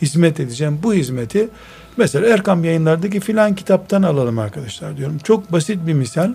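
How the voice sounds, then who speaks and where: With noticeable background noise behind him, a man talks fairly quickly at a fairly high pitch with lively intonation. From Istanbul, Türkiye. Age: 50s. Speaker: Islamic scholar and author. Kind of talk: radio interview. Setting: his library.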